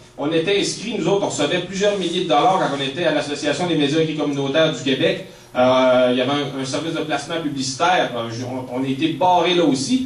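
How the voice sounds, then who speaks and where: Speech in a Quebec accent races at a very fast pace with hardly any pauses and ordinary pitch variation. Audible room echo and noticeable background noise surround it. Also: man, fairly high pitch for a man. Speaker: author and activist. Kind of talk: public talk. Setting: speech to audience in a hall. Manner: halting, many repetitions.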